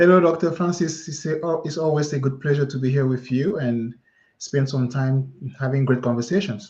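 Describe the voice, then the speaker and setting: A man with a French accent and a fairly high pitch speaks at a moderate pace, somewhat breathy and with ordinary pitch variation, over a quiet background. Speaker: career mindset coach, author. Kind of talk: live interview chat.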